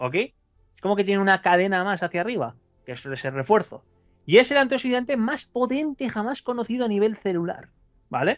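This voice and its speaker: With music in the background, a man talks at a fairly quick pace in a high pitch that swings very widely. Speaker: alchemist. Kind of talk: interview.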